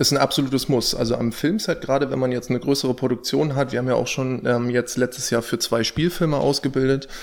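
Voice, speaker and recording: Very fast delivery leaves hardly any pauses in the speech. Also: man, medium pitch for a man, fairly even intonation. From northern Germany, near Stade. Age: 20s. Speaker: dog trainer. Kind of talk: interview.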